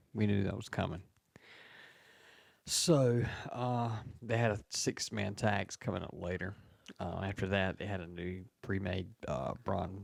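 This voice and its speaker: On a very clean recording with a silent background, a man speaks quietly at a fairly low pitch and a fairly slow pace, using ordinary pitch variation and long, frequent pauses. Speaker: wrestling podcast co-host. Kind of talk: casual chat. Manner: talks low and quiet.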